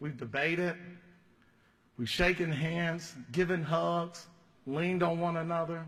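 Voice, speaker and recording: Speaking at a fairly slow pace with a Southern US accent, this man has a high-pitched voice and ordinary pitch variation. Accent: southern drawl. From US South, Georgia (Fayette County). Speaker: state legislator. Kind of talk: farewell speech on the house floor. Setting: legislative chamber.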